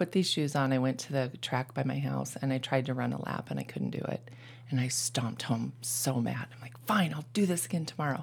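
A woman's very deep, low voice with vocal fry, ordinary pitch variation and a fairly quick pace. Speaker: triathlete. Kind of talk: casual chat.

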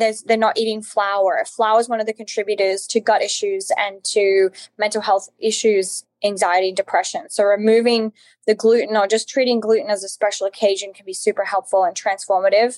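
Recorded dry and close with no echo, a woman with an Australian accent speaks fairly fast at a fairly high pitch, her loudness swinging widely. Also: fairly even intonation. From Australia, Alice Springs. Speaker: nutritionist and author. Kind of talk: interview.

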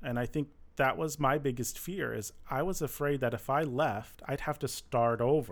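A man speaks in a normal speaking voice at medium pitch with ordinary pitch variation. His moderate pace comes through on a very clean recording with a silent background. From Michigan. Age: 30s. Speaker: former finance manager. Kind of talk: interview. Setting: studio.

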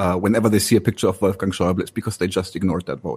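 Some breathiness runs through the voice. The recording is close and dry, without any echo. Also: man. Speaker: political podcaster. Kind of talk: political discussion.

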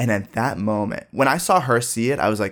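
Very fast, lively speech with vocal fry, in a General American accent. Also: man. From US Midwest, Dayton, Ohio. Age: 20s. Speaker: high school teacher. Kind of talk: casual chat.

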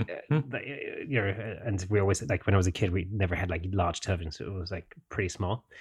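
A man's very deep, low, somewhat breathy voice at a fairly quick pace, set against a quiet background. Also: ordinary pitch variation. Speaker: photography podcast host. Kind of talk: casual chat. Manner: hesitant, many fillers.

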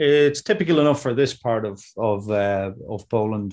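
Against a quiet background, a man speaks at a fairly slow pace. His pitch is fairly low. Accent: Dublin. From Ireland, Dublin. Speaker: farmer. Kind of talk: interview. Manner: hesitant, many fillers.

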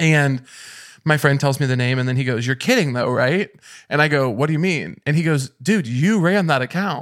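A man's fairly high voice with an American accent, a plain, everyday voice at a moderate pace with ordinary pitch variation, on a very clean recording with a silent background. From rural Missouri. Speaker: comedian. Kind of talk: casual chat.

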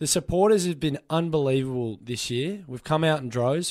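A man at a moderate pace, with lively intonation and an Australian accent. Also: very clean recording, silent background. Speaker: sports radio host and Melbourne football fan. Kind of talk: angry, passionate rant about his football club letting fans down. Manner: emotional, fired-up, passionate, impassioned and vehement.

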